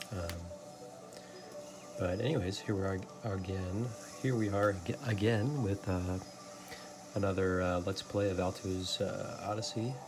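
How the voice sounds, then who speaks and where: Whispering and soft-spoken over background music, a man goes at a fairly slow pace with long, frequent pauses. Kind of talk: soft-spoken ASMR let's play talk to camera. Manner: soft-spoken, whispery, hesitant with many filler words.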